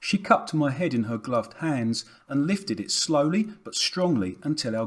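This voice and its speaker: Speaking at a moderate pace with lively intonation, a man has an ordinary speaking voice on a very clean recording with a silent background. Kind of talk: audiobook reading of a novel.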